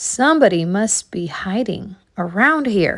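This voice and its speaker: A woman's put-on, raspy character voice at a medium pitch and a fairly slow pace, with very wide pitch swings. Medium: read story.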